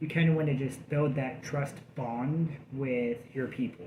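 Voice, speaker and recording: A man with a medium-pitched voice and fairly even intonation talks at a moderate speed, accompanied by audible room echo and noticeable background noise. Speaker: vlogger in addiction recovery. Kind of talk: casual vlog update. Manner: halting, many fillers.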